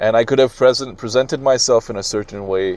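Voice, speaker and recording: Speaking at a fairly quick pace, a man uses medium pitch with ordinary pitch variation. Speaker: podcast host. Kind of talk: solo podcast monologue. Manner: loud; halting, many fillers and restarts.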